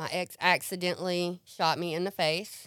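A woman with an American accent at a fairly slow pace, fairly low in pitch, with monotone, flat intonation in a very clean recording with a silent background. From US South, central Mississippi. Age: 30s. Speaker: recovering addict. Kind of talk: testimony. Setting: studio.

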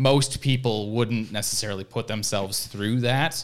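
At a moderate pace, a man talks in an ordinary speaking voice with fairly even intonation. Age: 20s. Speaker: podcast host at a veterinary practice. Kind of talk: casual interview. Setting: studio.

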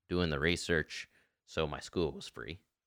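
Speaking at a fairly quick pace, a man with a very deep, low voice and vocal fry keeps a monotone, flat intonation in a dry, close recording with no echo. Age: 20s. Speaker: business owner and former racer. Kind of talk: casual interview. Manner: halting.

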